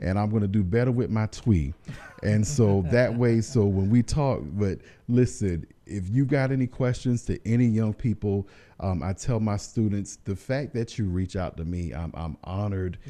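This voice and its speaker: With an American accent, a man speaks at a fairly low pitch in a dark, mellow tone, with ordinary pitch variation over a quiet background. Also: moderate pace. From US South, Columbia, South Carolina. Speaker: social worker, foundation founder. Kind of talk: radio interview. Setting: radio studio. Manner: animated.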